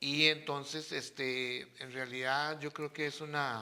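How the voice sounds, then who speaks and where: Very slowly, a man speaks in a monotone, flat way, his fairly high voice carrying a bright, sharp tone. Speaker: father of the host. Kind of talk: casual chat.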